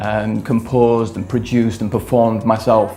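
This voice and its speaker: Music plays behind a man whose voice is medium in pitch. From northern England, Leeds. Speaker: electronic music producer and singer. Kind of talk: interview. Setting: studio. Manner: hesitant, many fillers.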